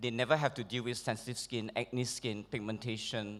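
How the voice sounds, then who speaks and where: A man speaks at medium pitch and a moderate pace. The recording is very clean, with a silent background. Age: 40s. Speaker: award recipient, holistic skincare practitioner. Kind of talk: acceptance speech. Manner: hesitant, many fillers.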